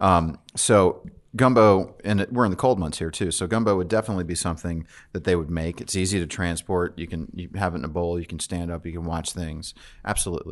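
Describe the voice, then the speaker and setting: A man with a very deep, low pitch and ordinary pitch variation speaks at a fairly quick pace against a quiet background. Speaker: chef and restaurant owner. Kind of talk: casual chat. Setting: studio.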